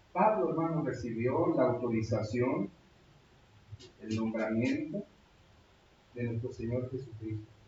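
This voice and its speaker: A man with a medium-pitched voice talks at a fairly slow pace, pausing long and often, over noticeable background noise. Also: ordinary pitch variation. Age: 60s. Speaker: pastor. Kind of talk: sermon.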